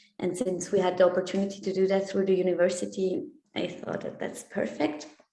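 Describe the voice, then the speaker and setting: The voice stays monotone, with flat intonation. Room echo can be heard. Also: woman. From Switzerland. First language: German and Italian. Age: 20s. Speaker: exchange student. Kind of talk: interview. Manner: hesitant, many fillers.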